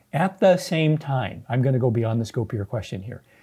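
A man's medium-pitched, dark, mellow, somewhat breathy voice with an American accent, lively intonation and a moderate pace, on a very clean recording with a silent background. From Southern California. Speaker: epidemiologist and physician. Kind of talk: interview.

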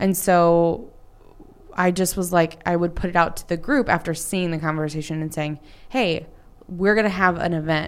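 With an American accent and a fairly low pitch, a woman talks at a moderate pace in an unremarkable speaking voice. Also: fairly even intonation. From Texas, North Dallas area. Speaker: entrepreneur and business coach. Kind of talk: casual interview.

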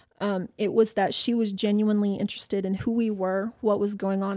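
A woman with a medium pitch speaks at a fairly quick pace in a monotone, flat intonation. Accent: American. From US South. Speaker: personal trainer. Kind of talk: casual interview.

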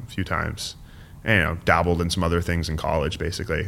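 The man's tone comes across as bright and sharp. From San Francisco, US West Coast. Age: 30s. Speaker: political staffer. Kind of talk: casual chat. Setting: studio.

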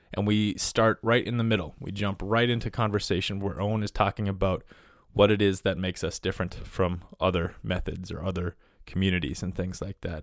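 On a very clean recording with a silent background, a man with a fairly low voice speaks at a moderate pace. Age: 30s. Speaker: podcast host, former wilderness guide. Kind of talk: solo podcast intro monologue; casual conversational interview.

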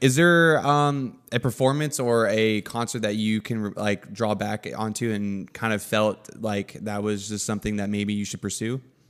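A man uses an ordinary speaking voice at a fairly low pitch, with ordinary pitch variation. He goes at a moderate pace with hardly any pauses, on a very clean recording with a silent background. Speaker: podcast host. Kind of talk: casual podcast interview.

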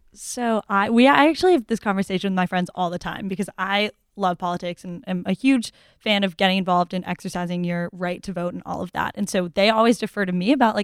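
With an American accent, a woman speaks very fast at a medium pitch in a very clean recording with a silent background and a dry, close sound with no echo. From Massachusetts (Newton). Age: 20s. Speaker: college student. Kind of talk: casual chat.

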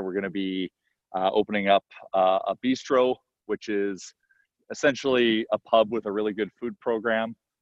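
In a western Canadian accent, a man talks at a moderate pace with a fairly low pitch and monotone, flat intonation. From Edmonton, Canada. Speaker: entrepreneur and restaurant owner. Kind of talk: interview.

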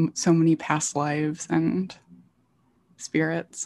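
A woman is recorded with a dry, close sound and no echo. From rural Southwest Michigan, US. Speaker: podcast host and poet. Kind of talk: casual chat.

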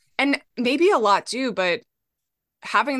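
An unremarkable speaking voice from a woman with an American accent, lively intonation and a fairly slow pace against a quiet background. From Minnesota. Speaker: author and memoirist. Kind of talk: interview podcast conversation.

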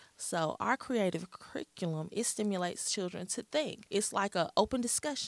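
A woman with a Southern US accent speaks with lively intonation and hardly any pauses, the sound dry and close with no echo. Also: medium pitch for a woman, moderate pace. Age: 40s. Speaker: preschool program director. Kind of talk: radio interview. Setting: studio.

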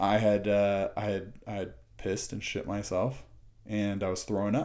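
A man speaks at a fairly slow pace. His voice sits fairly low in pitch. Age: 30s. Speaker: podcast guest, recovered addict. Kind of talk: casual chat. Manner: halting, many fillers and repeats.

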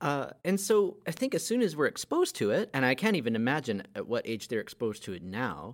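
Speech moves along at a fairly quick pace. The recording is very clean, and the background is silent. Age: 30s. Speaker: podcast co-host. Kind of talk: casual chat. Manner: halting.

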